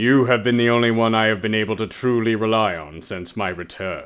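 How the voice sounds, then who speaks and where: In a put-on character voice, a man talks at a fairly quick pace with a medium pitch. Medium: actual play. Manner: cold, curt.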